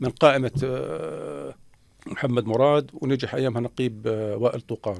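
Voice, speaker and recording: This man talks at a moderate pace, his medium pitch moving with ordinary variation. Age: 60s. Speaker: former minister. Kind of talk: interview. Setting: radio studio. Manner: halting.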